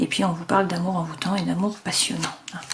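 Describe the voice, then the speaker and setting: With noticeable background noise, a woman talks in fairly even intonation. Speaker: tarot card reader. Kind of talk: tarot reading. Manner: hesitant, many fillers.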